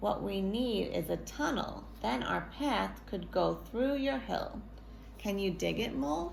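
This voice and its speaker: A woman uses a put-on character voice at a fairly slow pace. Background noise is clearly audible. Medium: read story. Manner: bossy.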